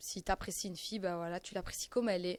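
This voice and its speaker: A woman talks at a very fast pace with fairly even intonation. The recording is very clean and dry, close with no echo, against a silent background. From Belgium. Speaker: reality TV contestant. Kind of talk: interview answer.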